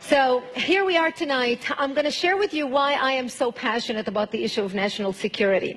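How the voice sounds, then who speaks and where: Against noticeable background noise, a woman speaks at a moderate pace in a high pitch with lively intonation. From Lebanon. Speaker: activist speaker. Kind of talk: speech.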